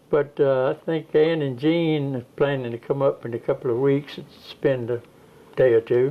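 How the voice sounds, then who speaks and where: A man with a Georgia accent speaks at a fairly high pitch with fairly even intonation. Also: moderate pace, big swings in loudness. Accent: Southern American, Georgia. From Georgia, US South. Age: 90s. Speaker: elderly interviewee. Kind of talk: oral history interview. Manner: halting.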